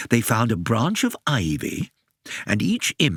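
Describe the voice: Plain reading aloud comes over a quiet background.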